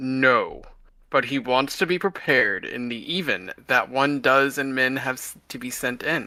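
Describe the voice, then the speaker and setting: Using a put-on character voice, a man speaks at a medium pitch with ordinary pitch variation and big swings in loudness. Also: moderate pace. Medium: read story. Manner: earnest, affectionate.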